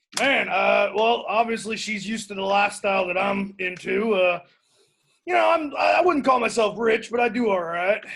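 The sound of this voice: In a put-on character voice, a man shouts at a moderate pace, his high pitch showing ordinary variation, with a fairly bright tone and vocal fry.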